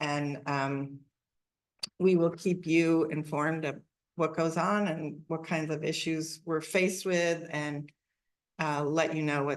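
At a very slow pace, a woman speaks in a very deep, low pitch with monotone, flat intonation. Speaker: city council member. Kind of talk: public meeting remarks. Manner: loud; hesitant with fillers.

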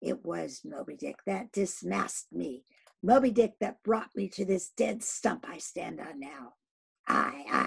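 Putting on a raspy character voice, a man speaks high-pitched at a fairly slow pace. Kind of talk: dramatic reading of a novel. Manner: shouted, anguished, ending in a loud animal sob.

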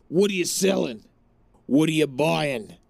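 Putting on a raspy character voice, a man talks at a moderate pace with a fairly high pitch. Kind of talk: casual gameplay commentary.

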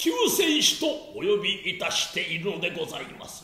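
Using a put-on character voice, a man speaks at a moderate pace with a clear echo. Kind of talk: stage tragedy, archaic humble speech. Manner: reverent, mournful, pleading.

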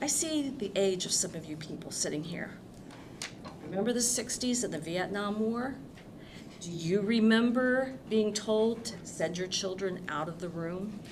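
Through audible room echo and noticeable background noise, a woman speaks fairly slowly at a medium pitch with lively intonation. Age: 60s. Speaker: public commenter at school board meeting. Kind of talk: public comment at board meeting.

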